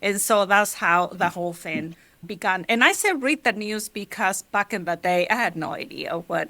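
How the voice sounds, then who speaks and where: A woman with a Mexican accent speaks at a moderate pace with fairly even intonation. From Mexico, Michoacán (rural). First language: Spanish. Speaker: journalist. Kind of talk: interview.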